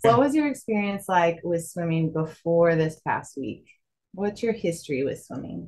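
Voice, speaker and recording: Somewhat breathy, this woman's fairly low voice carries lively intonation. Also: moderate pace. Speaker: adult swim instructor. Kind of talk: interview questions to camera. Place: home room.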